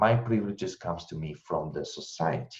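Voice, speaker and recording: Speaking with an Italian accent at a moderate pace, a man shows very wide pitch swings in a dark, mellow tone that is somewhat breathy. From Italy. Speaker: intercultural trainer and researcher. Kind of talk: webinar presentation answering questions.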